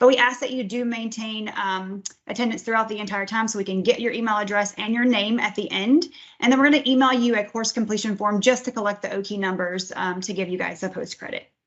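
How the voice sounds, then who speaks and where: Talking at a very fast pace, a woman with a fairly high pitch keeps her intonation fairly even. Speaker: grants division director presenting training. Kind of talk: webinar training presentation. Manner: frequent um fillers.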